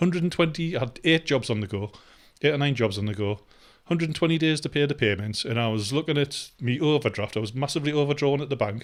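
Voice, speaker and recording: Talking at a very fast pace in a Geordie accent, a man with a fairly high pitch uses lively intonation. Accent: Geordie, noticeable. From northeast England, Newcastle upon Tyne. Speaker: vlogger. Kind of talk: casual vlog monologue. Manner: hesitant, many fillers.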